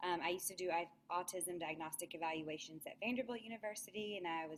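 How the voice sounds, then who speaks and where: Talking very fast in a Southern US accent, a woman uses a fairly low pitch with ordinary pitch variation. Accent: Southern US twang. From US South, Alabama. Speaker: speech language pathologist. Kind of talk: webinar presentation.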